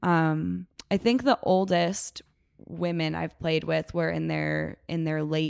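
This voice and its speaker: Speaking very slowly with a Chicago accent, a woman comes through in a dry, close sound with no echo. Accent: Chicago-area American. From US Midwest, Chicago suburbs. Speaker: gym member, former rugby player. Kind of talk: casual chat.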